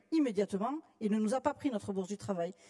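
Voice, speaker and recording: The speaker has a Toulouse accent and lively intonation at a very fast pace. The sound is dry and close, with no echo. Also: woman. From southern France, Toulouse. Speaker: trade union delegate. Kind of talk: congress floor speech.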